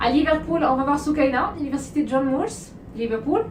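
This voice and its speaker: Audible room echo surrounds a woman's high voice as she talks at a moderate pace with lively intonation. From Morocco. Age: 30s. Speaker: study abroad agency owner. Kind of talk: vlog introduction.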